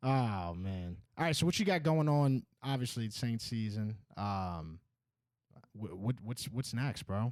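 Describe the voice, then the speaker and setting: With a slight Northeastern US accent, the speaker talks at a fairly slow pace with lively intonation in a very clean recording with a silent background. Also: man, medium pitch for a man. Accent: slight Northeast US, Boston-like. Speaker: podcast host. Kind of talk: casual chat.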